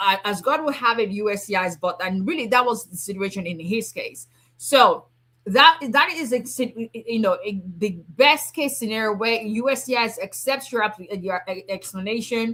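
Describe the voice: At a moderate pace, a woman speaks with a medium pitch and lively intonation. Her tone is fairly bright.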